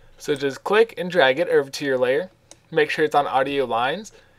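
This man has a plain, everyday voice, moving at a fairly quick pace with ordinary pitch variation. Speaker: graphic design tutorial creator. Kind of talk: software tutorial. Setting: screen recording at home computer. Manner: casual, many fillers (um, uh).

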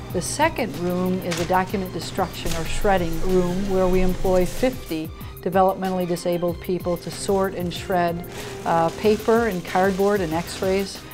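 Clear music plays in the background. A woman talks at a moderate pace with fairly even intonation. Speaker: pastor. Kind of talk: interview answer. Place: office.

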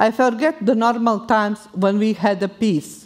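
A woman with a Bosnian accent talks at a fairly slow pace against a quiet background. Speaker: war refugee. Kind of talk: live personal storytelling. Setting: stage. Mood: solemn, grave. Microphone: headset.

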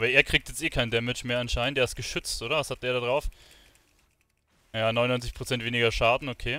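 Fast pace from a man with a medium pitch, fairly even intonation and a bright, sharp tone

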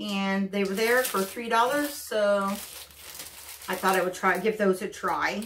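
A woman at a very slow pace with hardly any pauses, over light background noise. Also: medium pitch for a woman, ordinary pitch variation. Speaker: craft and subscription box reviewer. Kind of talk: casual talk to camera, haul video. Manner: chatty, with frequent fillers and hesitations. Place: home room.

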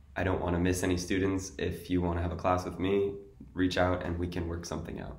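A man with a New York accent speaks in a very deep, low, somewhat breathy voice with monotone, flat intonation. Audible room echo surrounds him. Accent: New York American. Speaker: English teacher. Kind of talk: sales pitch. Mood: friendly, welcoming. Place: home room. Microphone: webcam.

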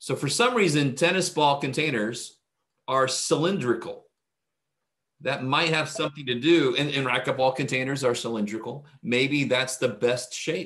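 A man speaks with ordinary pitch variation at a moderate pace against a quiet background. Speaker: math instructor. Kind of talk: lecture. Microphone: webcam.

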